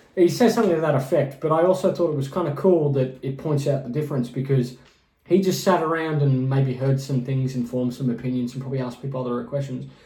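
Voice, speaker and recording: A man at a very fast pace, fairly high in pitch, with ordinary pitch variation and audible room echo. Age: 30s. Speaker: podcast co-host and musician. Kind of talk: casual chat.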